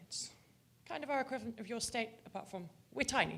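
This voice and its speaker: In a British accent, a woman talks at a fairly quick pace. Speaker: audience member asking a question. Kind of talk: audience question. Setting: conference with audience.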